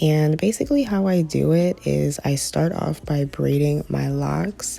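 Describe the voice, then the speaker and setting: Noticeable background noise sits behind the voice. A woman talks at a fairly slow pace. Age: 20s. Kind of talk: hair tutorial talk to camera. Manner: casual.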